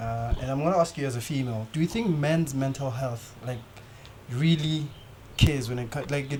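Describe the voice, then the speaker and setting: Here a man speaks at a fairly quick pace and a fairly high pitch, with ordinary pitch variation. Noticeable background noise is present. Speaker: podcast host. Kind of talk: casual chat. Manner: casual, relaxed.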